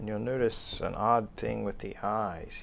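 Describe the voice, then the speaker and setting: A man speaks at a very slow pace. His voice is soft-spoken. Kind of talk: casual show-and-tell to camera. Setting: home recording, lapel mic, some handling noise.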